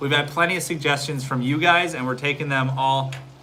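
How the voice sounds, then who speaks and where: A man speaks at a very fast pace with a fairly high pitch and ordinary pitch variation. The recording carries audible room echo and noticeable background noise. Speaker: realtor and family vlogger. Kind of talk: live stream Q&A. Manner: casual, hesitant.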